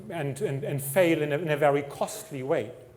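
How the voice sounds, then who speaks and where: A man speaks with a German accent at a fairly high pitch for a man. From Germany. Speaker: technology executive. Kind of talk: conference talk.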